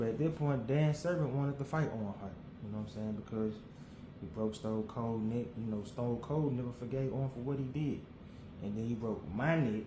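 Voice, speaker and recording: A medium-pitched man at a fairly quick pace with ordinary pitch variation, amid audible room echo and noticeable background noise. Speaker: wrestling podcaster. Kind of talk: casual solo commentary. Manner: fast.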